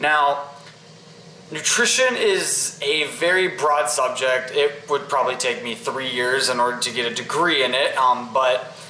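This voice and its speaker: Both noticeable background noise and audible room echo accompany a fairly slow delivery with ordinary pitch variation. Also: man, fairly high pitch for a man. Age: young. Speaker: fitness vlogger. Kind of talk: casual tutorial. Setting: kitchen. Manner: casual, with fillers.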